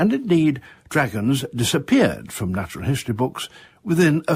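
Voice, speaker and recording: A somewhat breathy man's voice with very wide pitch swings at a moderate pace, on a very clean recording with a silent background. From British. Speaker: broadcaster, natural history presenter. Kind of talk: natural history monologue.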